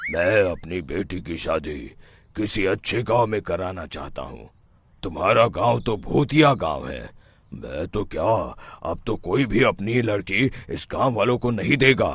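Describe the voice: This is a cartoonish character voice, raspy and fairly slow. Its pitch swings very widely. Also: man, fairly low pitch for a man.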